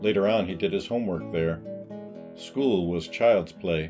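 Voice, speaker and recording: A man speaks. Music plays in the background. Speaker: author narrating his own audiobook. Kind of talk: audiobook narration of a literary novella.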